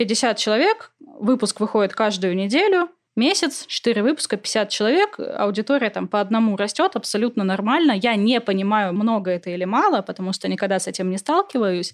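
The pace is moderate. Pitch variation is ordinary. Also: woman, fairly high pitch for a woman. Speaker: literary podcaster, philologist. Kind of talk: casual interview.

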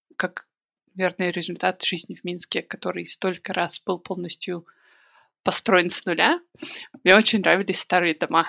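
A woman speaks at a medium pitch. Her voice has vocal fry. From Belarus, Minsk. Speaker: emigrant sharing experience. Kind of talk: casual interview chat.

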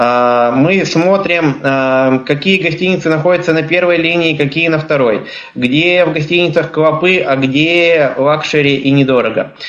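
The voice moves at a fairly slow pace with very even loudness, heard with audible room echo and noticeable background noise. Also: man, fairly high pitch for a man, ordinary pitch variation. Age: 20s. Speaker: blind traveler and trainer giving a webinar. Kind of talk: webinar talk.

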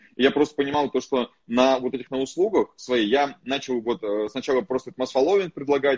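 A man with a normal speaking voice talks fairly quickly, his pitch medium and his pitch variation ordinary. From Russian Far East. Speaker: podcast host and entrepreneur. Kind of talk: casual interview chat, recorded from live stream. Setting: phone recording of Instagram live.

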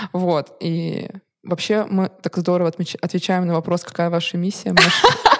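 Her fairly low-pitched voice stays monotone and flat as this woman talks at a moderate pace. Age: 20s. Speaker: co-founder of a resale platform. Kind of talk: interview.

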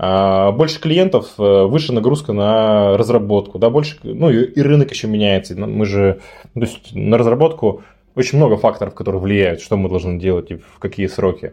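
The intonation of this man's voice is lively. He keeps to a moderate pace. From Yekaterinburg, Russia. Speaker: startup founder. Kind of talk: casual chat.

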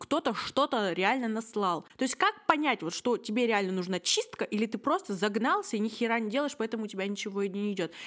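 Hardly pausing, a woman speaks at a fairly quick pace in a fairly high pitch with very wide pitch swings. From Russia, Yekaterinburg. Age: 20s. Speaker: podcast host. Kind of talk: casual chat.

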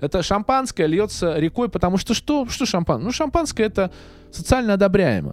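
This man's voice is high and his pitch swings very widely. He keeps a moderate pace. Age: 30s. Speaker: actor and video blogger. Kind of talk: casual chat. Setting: studio. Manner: halting.

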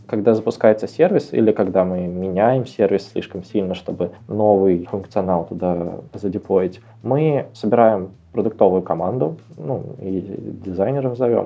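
A man with an unremarkable speaking voice talks at a fairly slow pace, his pitch fairly low and his pitch variation ordinary. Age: 20s. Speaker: head of analytics at a tech company. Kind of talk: interview.

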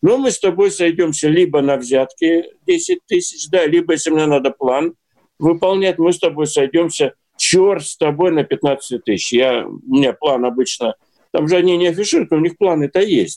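Heard in a dry, close recording with no echo, a man with a high pitch and a dark, mellow tone speaks at a moderate pace. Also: ordinary pitch variation. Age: 60s. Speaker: newspaper editor-in-chief. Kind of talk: casual chat. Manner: animated.

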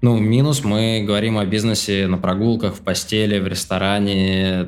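His fairly low voice holds a monotone, flat intonation as the man talks at a moderate pace. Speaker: project management educator, online school founder. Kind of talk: casual interview.

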